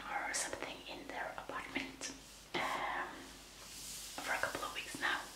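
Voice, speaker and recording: The whispering moves along at a moderate pace. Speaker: ASMR creator. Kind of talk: ASMR whispered magazine flip-through. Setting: home recording, quiet room. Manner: soft, whispered. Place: home room.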